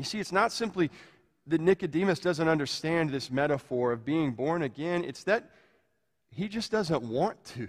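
A man speaks in a plain, everyday voice at a moderate pace with lively intonation. The recording is very clean, with a silent background. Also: fairly high pitch for a man. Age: 40s. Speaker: pastor. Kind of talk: sermon.

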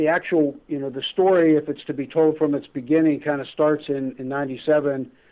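The speaker has an unremarkable speaking voice and keeps a moderate pace. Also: man. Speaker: attorney. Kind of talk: casual interview. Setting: phone call.

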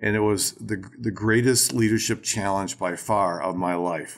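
In a very clean recording with a silent background, a man with a plain, everyday voice speaks at a moderate pace, with a fairly low pitch and fairly even intonation. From Racine, Wisconsin, US Midwest. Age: 60s. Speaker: ministry leader and leadership teacher. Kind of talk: casual interview conversation.

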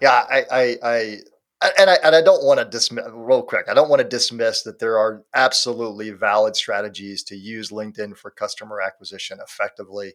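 The speaker is a man with a fairly quick pace. The loudness rises and falls in big swings. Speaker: podcast co-host on marketing. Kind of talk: casual chat. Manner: animated.

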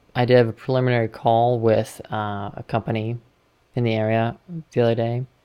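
Her pitch is very deep and low for a woman, and her intonation is monotone and flat. She talks at a fairly quick pace. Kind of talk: casual chat.

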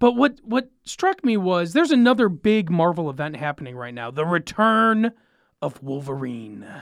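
A high-pitched man's voice with very wide pitch swings and big swings in loudness, at a moderate pace, on a very clean recording with a silent background. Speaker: podcast co-host. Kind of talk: casual chat.

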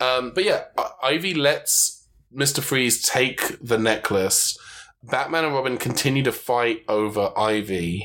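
Speaking at a fairly slow pace, a man uses ordinary pitch variation and a bright, sharp tone. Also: medium pitch for a man, very even loudness. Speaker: podcast host. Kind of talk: casual chat.

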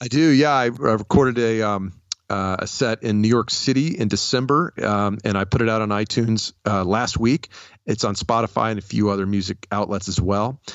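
A man with an American accent and a normal speaking voice, fairly low in pitch, with ordinary pitch variation. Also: fairly quick pace. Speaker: comedian and podcaster. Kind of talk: interview. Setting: video call.

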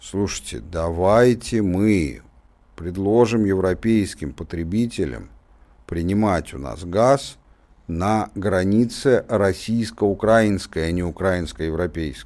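The tone is dark and mellow, delivered at a very slow pace with ordinary pitch variation. The recording is very clean, with a silent background. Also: man, very deep, low pitch for a man. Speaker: radio co-host, political commentator. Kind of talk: radio talk show discussion. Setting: studio. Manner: animated.

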